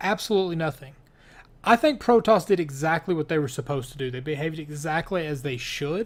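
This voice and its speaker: With a slight Kentucky accent, a man talks at a very fast pace and fairly high pitch with ordinary pitch variation, on a very clean recording with a silent background. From US, Kentucky. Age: 30s. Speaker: gaming YouTuber and game developer. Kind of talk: casual Q&A chat.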